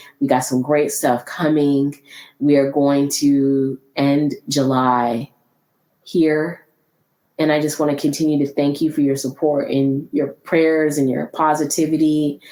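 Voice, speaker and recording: A woman speaks at a very deep, low pitch with a dark, mellow tone. Her pace is fairly slow, her loudness very even, and her intonation monotone and flat. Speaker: podcast host. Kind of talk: solo podcast talk.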